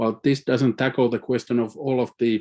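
A man's dark, mellow voice at medium pitch, monotone and flat in intonation, with a Finnish accent. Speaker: climate scientist. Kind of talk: panel presentation. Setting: live-streamed online meeting.

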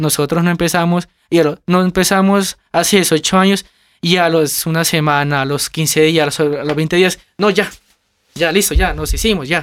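Over a silent background on a very clean recording, a man talks at a fairly slow pace. His pitch is high, and his intonation is fairly even. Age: 20s. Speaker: family business manager. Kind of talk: interview. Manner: halting.

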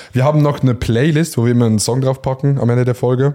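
In a very clean recording with a silent background, a man with a medium pitch and a dark, mellow tone talks at a very fast pace with fairly even intonation. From rural Switzerland. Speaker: podcast host. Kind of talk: casual chat. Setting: barber shop.

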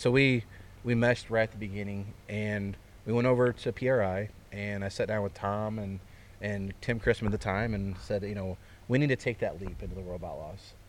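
Speaking at a moderate pace with fairly even intonation, a man with a fairly low pitch talks in a Midwestern American accent. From central Illinois (Fairbury). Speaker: racetrack owner. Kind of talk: casual interview. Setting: outdoors at racetrack grandstand.

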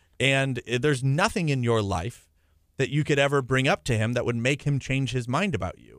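An unremarkable speaking voice belongs to a man at medium pitch, talking at a fairly quick pace with ordinary pitch variation and big swings in loudness. The recording is very clean with a silent background. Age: 20s. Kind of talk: radio interview. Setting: radio studio.

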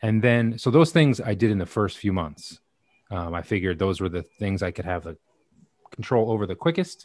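In a very clean recording with a silent background, a man with a normal speaking voice talks at a fairly quick pace, his fairly low voice carrying lively intonation. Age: 40s. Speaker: podcast host, heart attack survivor. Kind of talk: interview.

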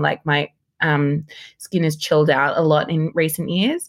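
A woman with an Australian accent speaks at a very deep, low pitch with ordinary pitch variation, on a very clean recording with a silent background. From Sydney, Australia. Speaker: model, journalist and presenter. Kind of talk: casual chat.

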